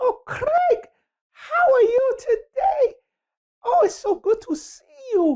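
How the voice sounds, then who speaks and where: This put-on character voice is squeaky and extremely high-pitched with a warm tone, moving at a fairly slow pace with long, frequent pauses. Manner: sweet, warm, friendly.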